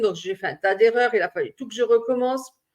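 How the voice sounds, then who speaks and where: A woman speaks with fairly even intonation. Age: 60s. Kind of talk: personal vlog monologue. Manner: halting, many hesitations.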